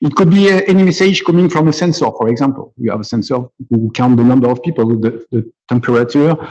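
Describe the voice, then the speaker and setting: A man with a French accent, speaking very fast at a medium pitch with ordinary pitch variation. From France, near Nice. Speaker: computer scientist and musician. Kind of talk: conference talk. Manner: halting, many repetitions.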